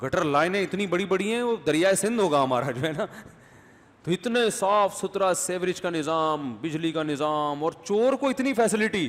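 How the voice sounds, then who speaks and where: A man speaks with lively intonation, an animated tone, and a high pitch. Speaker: religious scholar giving a sermon. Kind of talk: Islamic sermon with humorous anecdote. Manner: conversational, storytelling, animated.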